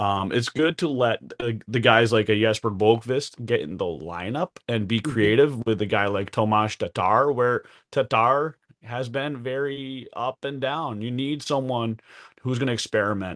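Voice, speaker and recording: This man has a normal speaking voice at a medium pitch. He talks at a moderate pace with ordinary pitch variation. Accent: American. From New Jersey. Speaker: hockey podcaster. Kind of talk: casual chat.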